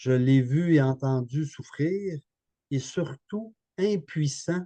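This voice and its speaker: Very slowly, a man speaks at a fairly high pitch with a dark, mellow tone and ordinary pitch variation. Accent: Quebec. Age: 60s. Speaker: therapist and author. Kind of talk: webinar interview. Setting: online webinar.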